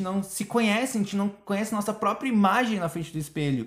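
A man's voice with lively intonation. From Brazil. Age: 20s. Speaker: podcast host. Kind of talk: casual chat. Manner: animated.

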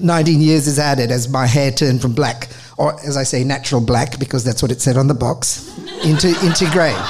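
A man talks at a fairly quick pace, his pitch fairly high and his intonation fairly even. His loudness stays very even over noticeable background noise and audible room echo. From Australia, Adelaide. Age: 50s. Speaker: charity manager and former lawyer. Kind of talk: storytelling talk. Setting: stage with audience.

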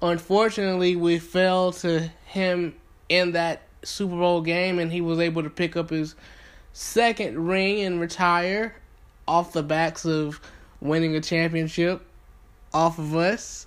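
Someone speaks at a fairly slow pace with a Southern US accent and fairly even intonation. The recording is very clean, with a silent background. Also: man, high pitch for a man. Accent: Southern US (Georgia). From US South, Thomaston, Georgia. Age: 20s. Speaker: sports podcast host. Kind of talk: podcast monologue.

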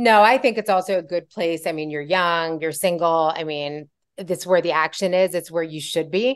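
A woman speaks at a fairly low pitch with ordinary pitch variation, in a normal speaking voice. Her pace is moderate, and the background is quiet. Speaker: podcast host. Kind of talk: conversational interview. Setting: video call.

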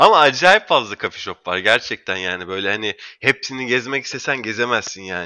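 This man has an ordinary speaking voice. His pace is moderate and his pitch varies in an ordinary way. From Istanbul, Turkey. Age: 30s. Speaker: marketing professional. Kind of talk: casual interview.

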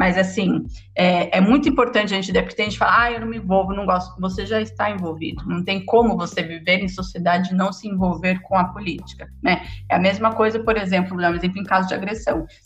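A woman's medium-pitched voice at a very fast pace, with ordinary pitch variation and music in the background. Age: 30s. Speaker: historian and geography graduate. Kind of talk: podcast interview.

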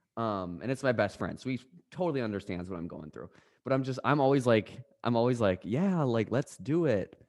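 A man speaks in a normal speaking voice at a medium pitch with lively intonation. His pace is fairly quick, and the background is quiet. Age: 20s. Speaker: podcast co-host. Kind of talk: casual chat.

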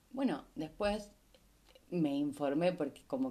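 Speaking at a fairly slow pace, a woman with a Rioplatense accent has a dark, mellow tone. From Argentina, Rosario. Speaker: podcast host. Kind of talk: casual monologue.

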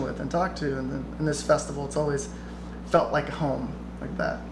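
An American-accented man speaks very fast. Audible room echo surrounds his voice. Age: 20s. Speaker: bluegrass musician. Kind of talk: casual interview chat.

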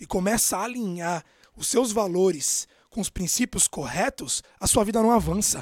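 This man's voice sits high in pitch. He talks at a moderate pace with lively intonation. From São Paulo, Brazil. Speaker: podcast host, self-development coach. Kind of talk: motivational monologue.

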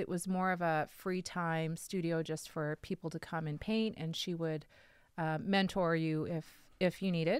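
On a very clean recording with a silent background, a woman talks at a moderate pace with a fairly low pitch. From Sherwood Park, Alberta, Canada. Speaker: painter and body painter. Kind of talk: casual chat. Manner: self-conscious about being recorded.

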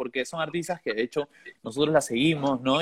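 The speaker has a Peruvian accent. Pitch varies in an ordinary way. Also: man. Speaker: musician. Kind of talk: casual chat.

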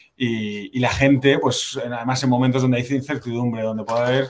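Keeping a moderate tempo, a man speaks at a medium pitch and fairly even intonation. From born in Sweden, raised in US to age nine, then Spain. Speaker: marketing executive. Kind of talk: interview. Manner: hesitant, many repeated words.

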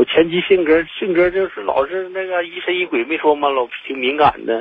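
The speaker is a man using ordinary pitch variation. His pace is moderate. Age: 40s. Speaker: caller. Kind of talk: call-in advice. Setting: phone call. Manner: halting.

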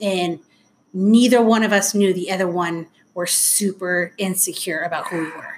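In an American accent, a woman talks at a moderate pace with a medium pitch and fairly even intonation. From Anaheim, California. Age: 40s. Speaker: guest, mother and stepmom. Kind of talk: casual interview, personal storytelling.

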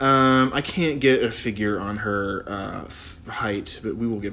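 At a fairly low pitch with ordinary pitch variation, a man speaks in a plain, everyday voice. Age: 30s. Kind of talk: casual chat.

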